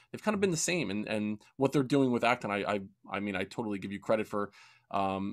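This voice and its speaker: A man's plain, everyday voice, fairly low in pitch, moves at a fairly quick pace on a very clean recording with a silent background. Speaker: podcast host. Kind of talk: podcast interview.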